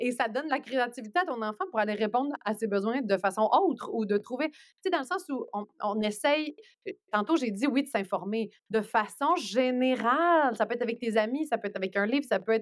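A woman's normal speaking voice, fairly high in pitch, with lively intonation and a fairly quick pace. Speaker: journalist. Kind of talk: casual podcast interview.

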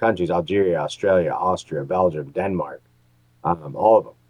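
This man's very deep, low voice moves at a fairly quick pace. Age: 40s. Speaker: podcast co-host. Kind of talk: casual chat.

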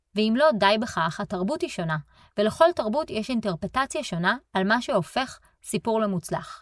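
Her pitch swings very widely as this woman speaks. The recording is very clean, with a silent background. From Israel. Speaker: podcast host and relocation coach. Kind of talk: solo podcast monologue.

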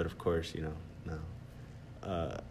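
A man with an American accent speaks in a very deep, low voice that is somewhat breathy. Audible room echo surrounds his words. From Texas. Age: 20s. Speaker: podcast host. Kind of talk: casual chat. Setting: library conference room. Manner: halting, many fillers.

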